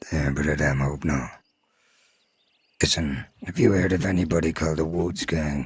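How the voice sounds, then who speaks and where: A man puts on a character voice that is rumbling and gruff with a very deep, low pitch, speaking at a moderate pace with fairly even intonation and long, frequent pauses. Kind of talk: Old West roleplay dialogue. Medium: game stream. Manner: gruff, grumbling, swears constantly.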